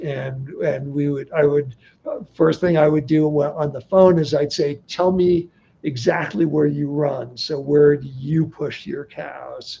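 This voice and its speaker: A man with an American accent speaks at a fairly slow pace and a fairly high pitch. His voice is somewhat breathy, and his intonation stays fairly even. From California (Bay Area). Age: 70s. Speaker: desert explorer and guidebook author. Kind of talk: livestream interview. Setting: livestream. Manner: halting, many false starts.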